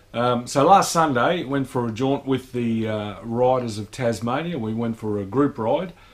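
Male speech at a moderate pace over background music. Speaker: motorcycle vlogger. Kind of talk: casual vlog chat. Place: garage. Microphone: camera far.

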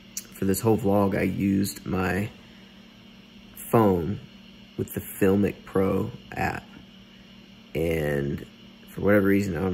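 A man's very deep, low voice at a fairly slow pace, with ordinary pitch variation and light background noise. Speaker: vlogger. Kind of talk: casual vlog chat. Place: home room. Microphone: earbuds.

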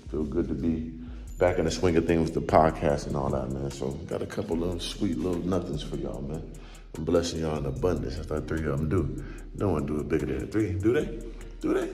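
A man speaks very fast in a very deep, low voice with ordinary pitch variation. Faint music sits in the background. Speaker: vlogger. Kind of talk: casual vlog chat. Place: home room. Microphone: phone near.

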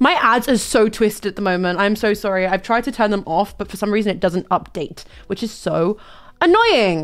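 A woman with a British accent speaks in an animated tone, her pitch rising and falling in an ordinary way against a quiet background. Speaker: livestreamer. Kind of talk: casual livestream chat turning to serious discussion. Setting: livestream with guest on call. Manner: nervous, a bit halting. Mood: nervous, apologetic. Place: home room. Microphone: studio mic.

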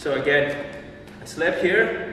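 A man is heard through noticeable background noise and strong room echo. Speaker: boxing instructor. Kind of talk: tutorial. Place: gym.

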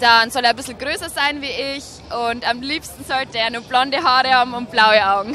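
A woman speaks at a fairly quick pace in a high pitch with ordinary pitch variation, the sound dry with no echo and light background noise. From Bavaria, Regensburg area; Bavaria. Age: 20s. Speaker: dating show candidate; candidate. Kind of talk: casual interview. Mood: cheerful, laughing. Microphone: handheld.

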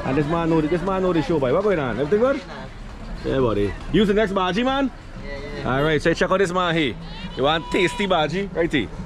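Crowd noise sits behind a very fast voice with very wide pitch swings. Long pauses come often. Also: man, high pitch for a man, dry sound with no echo. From Guyana. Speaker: YouTube vlogger. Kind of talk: casual vlog narration. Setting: outdoors at a market and beach. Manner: animated. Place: market. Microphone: phone near.

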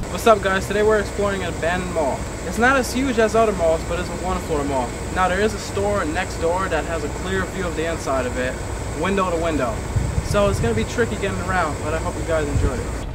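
There is loud background noise. A man talks at a very fast pace. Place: street.

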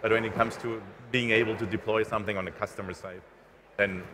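Over noticeable background noise, a man with a fairly low voice talks at a very fast pace. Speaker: cloud infrastructure engineer; panelist. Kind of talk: panel discussion. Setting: conference stage with live audience. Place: hall.

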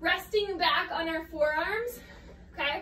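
Over light background noise and audible room echo, a woman speaks in a raised, projected voice. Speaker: fitness instructor. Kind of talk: workout instruction. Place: home room. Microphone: camera far.

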